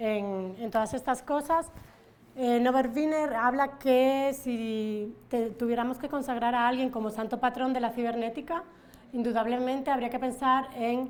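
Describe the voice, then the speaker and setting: A woman's high-pitched voice at a fairly slow pace with fairly even intonation. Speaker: academic conference speaker. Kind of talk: conference presentation. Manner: many fillers and hesitations.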